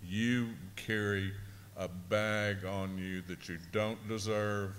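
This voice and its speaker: A man speaks with a very deep, low pitch in a monotone, flat intonation. Room echo is audible. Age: 60s. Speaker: abuse survivor panelist. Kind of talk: panel discussion testimony. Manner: halting.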